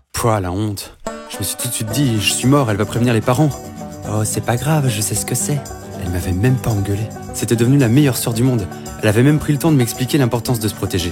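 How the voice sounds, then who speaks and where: Music plays in the background as a man speaks at a very fast pace with a medium pitch and ordinary pitch variation. He leaves long, frequent pauses. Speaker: voice actor. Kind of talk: animated short narration, first-person storytelling.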